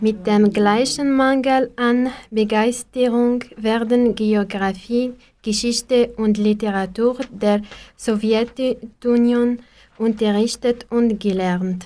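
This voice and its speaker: At a very slow pace, a woman with an Arabic accent speaks in a fairly high, dark, mellow voice, with monotone, flat intonation and very even loudness. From Algeria. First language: Arabic (speaking German). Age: 20s. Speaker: pharmacist, language learner. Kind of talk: reading aloud.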